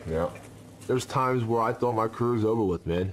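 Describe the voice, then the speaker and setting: This is an ordinary speaking voice at a fairly quick pace. Its pitch varies in an ordinary way. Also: man. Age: 30s. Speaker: mixed martial arts fighter. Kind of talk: interview confessional.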